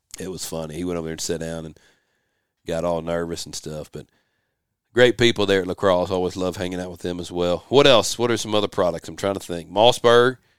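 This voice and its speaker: Here a man speaks with a Southern US accent. His pitch is very deep and low. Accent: Southern American. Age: 40s. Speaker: podcast host. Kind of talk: casual chat. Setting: home office.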